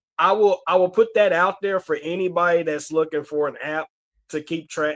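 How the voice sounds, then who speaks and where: A man speaks in a high voice. He has a Southern US accent. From Alabama, Huntsville. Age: 30s. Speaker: movie collector YouTuber. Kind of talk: casual chat.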